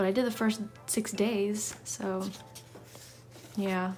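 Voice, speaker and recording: Over music in the background, a woman talks at a medium pitch. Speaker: hobby artist. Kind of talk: casual talk to camera. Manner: fast.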